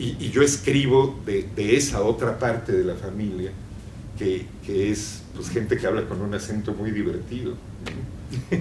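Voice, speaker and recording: Over noticeable background noise and audible room echo, a man with a fairly low pitch speaks at a fairly slow pace with ordinary pitch variation. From Mexico. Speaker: novelist. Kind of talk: public conversation. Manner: halting, many repetitions.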